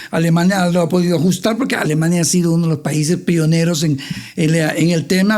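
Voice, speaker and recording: A man speaks at a fairly quick pace in a high voice with ordinary pitch variation, over noticeable background noise. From Honduras, Tegucigalpa. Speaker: finance expert. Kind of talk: interview.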